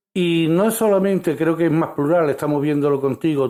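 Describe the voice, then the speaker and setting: A man's dark, mellow tone at a moderate pace, with fairly even intonation. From Spain. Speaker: radio host. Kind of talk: radio interview.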